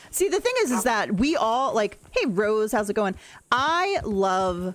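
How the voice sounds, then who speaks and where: Music plays in the background as a woman speaks at a medium pitch. Her voice moves in very wide pitch swings. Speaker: gaming streamer. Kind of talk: casual livestream chat.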